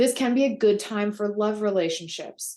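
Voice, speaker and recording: A woman speaks over a quiet background. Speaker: astrologer. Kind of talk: monthly horoscope forecast. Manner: fast.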